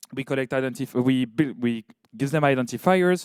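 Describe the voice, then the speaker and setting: Lively intonation colors a man's voice, heard in a dry, close sound with no echo. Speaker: research software presenter. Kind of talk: conference talk. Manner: halting.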